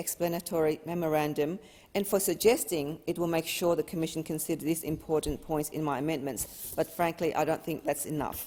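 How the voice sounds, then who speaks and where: At a fairly quick pace with hardly any pauses, a woman with a non-native accent speaks at a fairly low pitch with ordinary pitch variation. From Australia. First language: not English. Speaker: member of parliament. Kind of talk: parliamentary speech.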